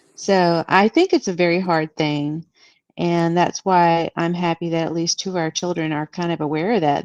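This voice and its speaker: Against a quiet background, a woman with a normal speaking voice talks at a fairly slow pace in a fairly low pitch. Her intonation is fairly even, and the sound is dry and close with no echo. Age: 60s. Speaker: guest on live show, former Jehovah's Witness. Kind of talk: casual chat.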